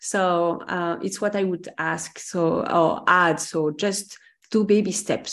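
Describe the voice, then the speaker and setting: In a French accent, a woman talks at a medium pitch with fairly even intonation. Behind her the background is quiet. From France. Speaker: career coach. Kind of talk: casual chat. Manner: halting.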